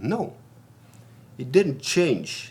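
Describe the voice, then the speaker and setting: A man speaks at a very slow pace with a German accent. His intonation is lively. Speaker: vlogger. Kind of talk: casual monologue.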